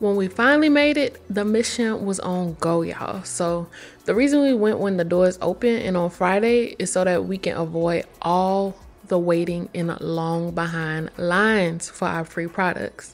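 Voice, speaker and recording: A woman speaks at a medium pitch and a moderate pace, with ordinary pitch variation. Music plays in the background. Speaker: vlogger. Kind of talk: casual vlog talk to camera. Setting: at home getting ready, then festival. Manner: casual, chatty.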